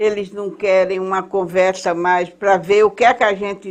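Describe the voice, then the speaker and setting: A woman's voice with fairly even intonation comes over a quiet background. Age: 80s+. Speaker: political activist. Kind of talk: interview.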